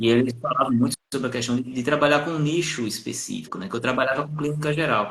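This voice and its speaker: A man's voice in a northeastern Brazilian accent, with ordinary pitch variation. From Brazilian Northeast, Paraíba. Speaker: psychologist. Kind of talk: live stream conversation. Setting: Instagram live video call.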